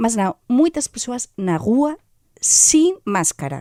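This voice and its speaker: High-pitched woman with a Galician accent and very wide pitch swings, dry and close with no echo, on a very clean recording with a silent background. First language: Galician (speaking Portuguese). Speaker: foreign journalist, weekly commentator. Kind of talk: radio panel commentary.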